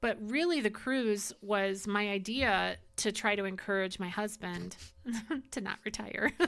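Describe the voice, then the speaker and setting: A woman talks fairly slowly in an ordinary speaking voice. Her pitch is medium, with ordinary pitch variation. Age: 60s. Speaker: podcast host. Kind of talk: casual chat.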